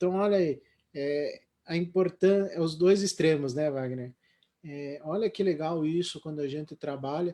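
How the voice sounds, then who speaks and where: Fairly slow and dark, mellow in tone, a man speaks in a fairly high pitch with ordinary pitch variation. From Paraná, Brazil. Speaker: live stream host. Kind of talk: casual panel discussion. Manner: halting, many fillers.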